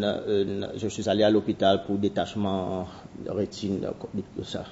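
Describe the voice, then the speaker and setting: Here a man talks at a moderate pace. His fairly low voice stays monotone and flat. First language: Seychellois Creole (speaking French). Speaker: anthropologist. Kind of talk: conference talk. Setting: university seminar. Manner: halting.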